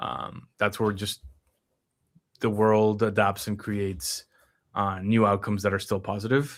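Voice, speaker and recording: Fairly slow and marked by long, frequent pauses, the speech keeps a fairly even intonation on a very clean recording with a silent background. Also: man, fairly low pitch for a man. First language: Spanish. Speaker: numerology reader and stream host. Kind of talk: live stream conversation. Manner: halting, many fillers.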